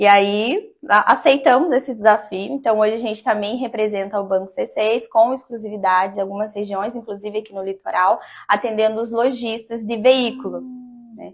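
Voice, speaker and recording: A woman with an unremarkable speaking voice talks at a moderate pace and a fairly high pitch, with fairly even intonation and hardly any pauses. Her loudness swings a lot, and the background is quiet. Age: 30s. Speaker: business owner; interview guest. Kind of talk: interview. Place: studio. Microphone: lapel.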